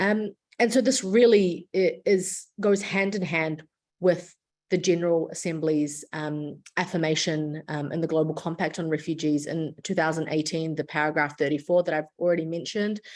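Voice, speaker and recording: Against a quiet background, a woman with a New Zealand accent speaks at a moderate pace in a fairly low voice with ordinary pitch variation. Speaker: international lawyer and refugee advocate. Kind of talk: lecture. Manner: frequent filler words and self-corrections.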